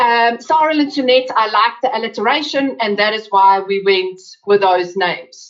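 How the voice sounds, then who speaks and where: A woman talks with an Afrikaans accent. Her pitch is fairly high, with ordinary variation. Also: moderate pace. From South Africa. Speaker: webinar presenter. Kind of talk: webinar talk. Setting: online webinar.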